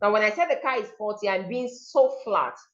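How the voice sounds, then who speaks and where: Audible room echo surrounds the recording. The woman keeps a moderate pace. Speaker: diction and pronunciation coach. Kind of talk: online seminar lecture. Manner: animated, demonstrative pronunciation examples.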